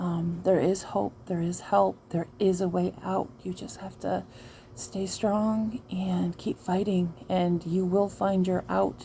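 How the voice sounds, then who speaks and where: A woman with an American accent speaks very slowly in a fairly low pitch, her tone dark, mellow and somewhat breathy. Her pitch varies in an ordinary way. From Michigan. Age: 40s. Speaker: trauma survivor vlogger. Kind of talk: personal testimony vlog. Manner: halting, frequent fillers.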